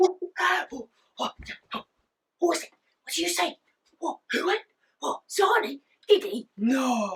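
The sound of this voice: A put-on character voice, high in pitch with very wide pitch swings, fairly slow, with long, frequent pauses.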